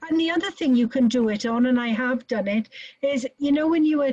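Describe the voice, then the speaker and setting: A dark, mellow tone comes through dry and close, with no echo at all. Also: woman. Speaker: nurse educator. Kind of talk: webinar.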